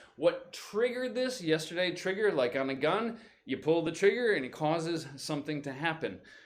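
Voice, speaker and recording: A man speaks at a moderate pace in a high pitch. His tone is animated, with lively intonation. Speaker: English teacher. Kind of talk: live stream vocabulary lesson. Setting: live stream.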